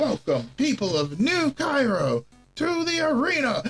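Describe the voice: A put-on character voice, high in pitch, moves at a moderate pace while faint music plays in the background.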